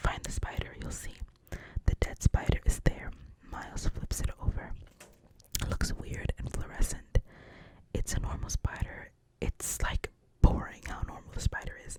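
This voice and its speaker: Whispering at a moderate pace, a woman leaves long, frequent pauses, her loudness swinging widely over noticeable background noise. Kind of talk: ASMR script reading. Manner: whispered, soft-spoken.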